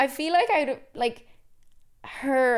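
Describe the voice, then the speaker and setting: A woman with a Cork accent at a very slow pace, on a very clean recording with a silent background. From Ireland, Cork. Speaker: podcast co-host. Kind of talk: casual chat. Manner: animated.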